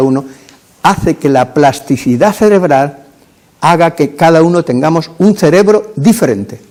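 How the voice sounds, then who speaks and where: With a dark, mellow tone, this man speaks using lively intonation. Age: 80s+. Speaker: psychologist. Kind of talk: lecture. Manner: halting.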